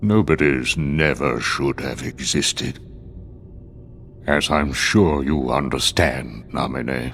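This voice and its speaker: A man puts on a character voice with a very deep, low pitch, ordinary pitch variation and a fairly slow pace over clear background noise. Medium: short film. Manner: cold, commanding.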